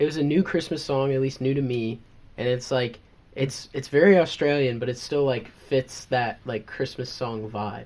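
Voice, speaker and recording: A man speaks at a medium pitch with an American accent. His pitch varies in an ordinary way, and his pace is moderate. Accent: southern, comes out around family. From US South. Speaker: podcast co-host. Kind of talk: casual chat.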